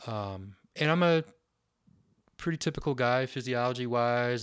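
In a very clean recording with a silent background, a man speaks in a normal speaking voice at medium pitch, fairly slowly, with ordinary pitch variation. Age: 50s. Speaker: bike shop owner. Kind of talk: casual chat.

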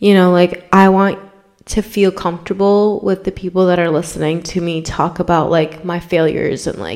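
A woman's fairly low voice at a moderate pace in a monotone, flat intonation. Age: 20s. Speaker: podcast host. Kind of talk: casual chat. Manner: casual, filler-heavy.

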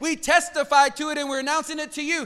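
Projecting loudly, a man speaks with an extremely high pitch and a bright, sharp tone. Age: 40s. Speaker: pastor. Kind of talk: sermon. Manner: animated.

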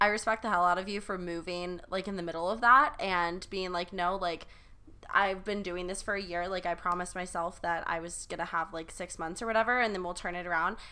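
A woman with an American accent speaks at a medium pitch and a fairly quick pace. Her tone is bright and sharp, her intonation fairly even. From South Carolina. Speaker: podcast co-host, college student. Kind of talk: casual chat.

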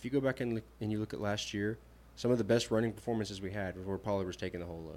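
A man talks at a very fast pace with fairly even intonation. His pitch is fairly low. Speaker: podcast co-host. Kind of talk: casual sports chat.

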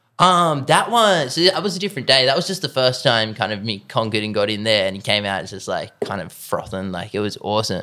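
In an Australian accent, the speaker races along at a very fast pace with hardly any pauses, very wide pitch swings and a bright, sharp tone. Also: man, medium pitch for a man. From Australia, Sutherland Shire, Sydney. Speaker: professional bodyboarder. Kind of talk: casual chat. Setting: host's lounge room.

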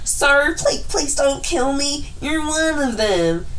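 A woman speaks very slowly in a put-on character voice. Clear background noise can be heard. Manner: pleading.

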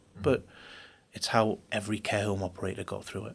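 A man with a Geordie accent talks in a fairly low, monotone, flat voice. The recording is very clean, with a silent background. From Newcastle, northeast England. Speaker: business executive. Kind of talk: interview.

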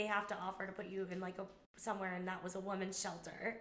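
A woman speaks with an American accent. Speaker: guest. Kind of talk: casual chat.

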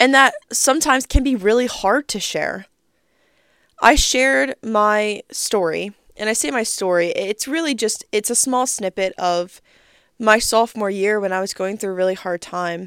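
On a very clean recording with a silent background and a dry, close sound with no echo, a woman uses an ordinary speaking voice, fairly high in pitch, at a moderate pace with lively intonation. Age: 20s. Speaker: podcast host. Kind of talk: casual monologue.

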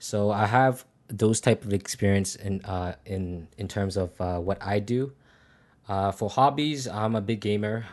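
Against a quiet background, a man with an unremarkable speaking voice talks at a fairly slow pace and a fairly low pitch with ordinary pitch variation. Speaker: NFT project moderator. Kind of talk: community AMA on Discord. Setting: Discord voice chat.

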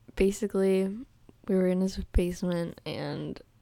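The background is silent and the recording very clean. A woman talks. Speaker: podcast co-host. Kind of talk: casual chat. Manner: animated, laughs often.

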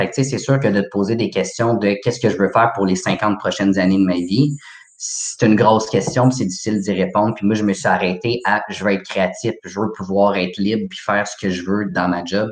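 A man with an ordinary speaking voice talks at a fairly quick pace with hardly any pauses and ordinary pitch variation. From Quebec, Laval. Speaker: horticulture graduate. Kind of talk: casual interview.

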